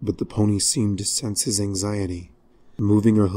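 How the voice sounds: The voice reads naturally.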